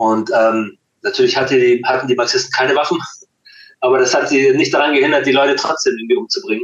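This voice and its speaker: At a very fast pace, a man talks with very even loudness. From Hamburg, Germany (born in Chile). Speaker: punk musician. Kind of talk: interview conversation.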